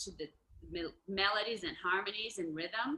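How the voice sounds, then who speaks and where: A woman with a Portuguese accent, medium in pitch, bright and sharp in tone. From Brazil. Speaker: musician. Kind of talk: casual chat. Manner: halting.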